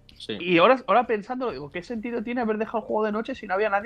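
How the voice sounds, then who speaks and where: A man talks very fast in a high voice with ordinary pitch variation, over noticeable background noise. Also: big swings in loudness. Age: 30s. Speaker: podcast co-host. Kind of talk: casual chat.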